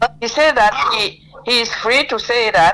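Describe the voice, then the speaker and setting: Music plays in the background as a woman speaks with lively intonation. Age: 80s+. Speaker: lawyer. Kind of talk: interview.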